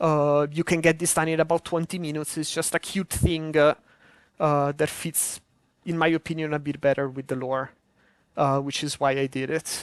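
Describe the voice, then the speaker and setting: A woman with a strong Italian accent speaks at a moderate pace in a very deep, low voice and a flat monotone, with a dry, close sound with no echo and a quiet background. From Italy. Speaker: modpack developer streaming a game preview. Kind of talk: live stream commentary. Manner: halting, many filler words.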